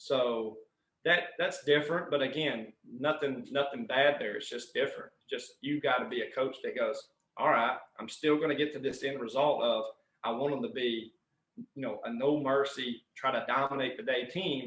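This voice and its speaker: This is a man with a Southern US accent. His pitch is fairly high. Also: ordinary pitch variation, moderate pace. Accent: Southern US twang. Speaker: strength and conditioning coach. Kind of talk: podcast interview answer. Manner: passionate.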